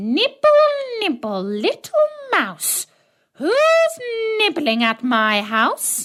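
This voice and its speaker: A woman's put-on character voice, high-pitched, squeaky and shrill, at a very slow pace with long, frequent pauses. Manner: sing-song, calling out from inside.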